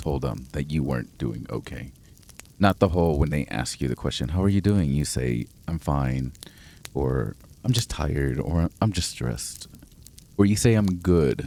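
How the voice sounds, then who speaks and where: A man's very deep, low voice comes through noticeable background noise. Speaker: podcast host. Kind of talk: podcast monologue.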